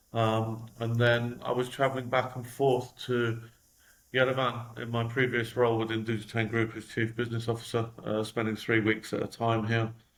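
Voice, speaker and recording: This man has a London accent. His intonation is monotone and flat. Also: medium pitch for a man, moderate pace. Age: 40s. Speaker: company executive. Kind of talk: interview.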